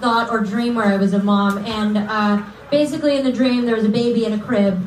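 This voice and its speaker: Delivered at a fairly quick pace with hardly any pauses, the speech has very even loudness, audible room echo and light background noise. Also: woman. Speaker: comedian. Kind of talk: stand-up. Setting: stage with audience. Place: stage.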